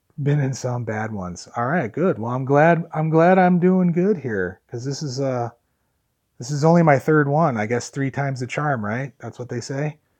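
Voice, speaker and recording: The background is quiet, and the pace is moderate. The speaker has an American accent and lively intonation. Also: man, fairly high pitch for a man. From Chicago area, US Midwest. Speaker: vlogger. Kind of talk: live stream chat with viewers. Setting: live stream from phone. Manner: loud. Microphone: phone audio with noise cancelling earbud in.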